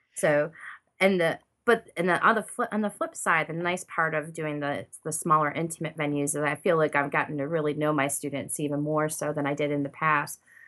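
An ordinary speaking voice at a fairly quick pace on a very clean recording with a silent background. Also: woman. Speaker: painter. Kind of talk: casual interview chat. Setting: recording from home studio.

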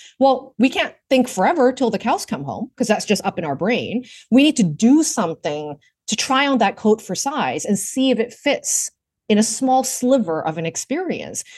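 With vocal fry and very wide pitch swings, a woman speaks fairly high at a moderate pace over a quiet background. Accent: Canadian. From Vancouver, Canada. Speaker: work reinvention strategist. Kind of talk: interview conversation. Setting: remote call.

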